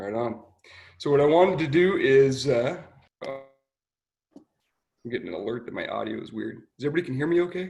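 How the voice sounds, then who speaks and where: A man talks at a very fast pace with lively intonation, breaking often into long pauses while music plays in the background. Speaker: state veterans program manager. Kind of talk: presentation. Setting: video call.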